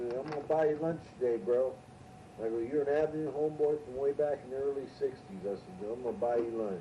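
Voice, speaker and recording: Very fast speech from a man at medium pitch, with noticeable background noise. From California, Ventura. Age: 60s. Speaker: storyteller on homemade tape. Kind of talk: casual storytelling. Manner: casual, rambling with fillers.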